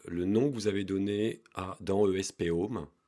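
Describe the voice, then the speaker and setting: Male speech, fairly low and dark and mellow, in a fairly even intonation. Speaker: DIY electronics youtuber. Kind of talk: tutorial. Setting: garage basement. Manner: hesitant, with fillers.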